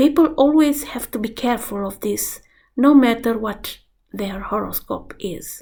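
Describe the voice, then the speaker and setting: Someone with a Romanian accent talks at a fairly slow pace with ordinary pitch variation, amid audible room echo. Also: woman. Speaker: astrologer. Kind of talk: vlog lecture.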